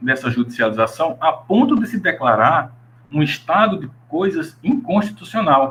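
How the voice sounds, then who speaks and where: Pitched fairly high, a man speaks at a fairly slow pace with very wide pitch swings. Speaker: law researcher and graduate student presenting research. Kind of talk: academic presentation. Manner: halting, with self-corrections.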